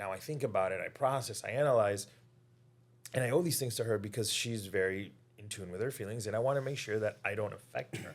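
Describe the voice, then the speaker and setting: Recorded very cleanly with a silent background, a man at a medium pitch talks at a fairly quick pace with ordinary pitch variation. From Cuban heritage, US. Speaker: psychologist. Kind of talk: casual podcast conversation. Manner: fast-paced; animated.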